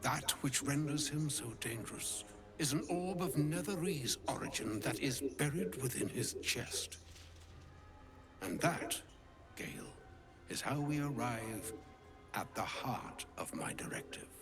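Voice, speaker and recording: A man puts on a character voice at a fairly high pitch and a fairly slow pace. Long, frequent pauses come through over clear background noise. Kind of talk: archaic, poetic speech. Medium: video game. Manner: formal, grave, measured.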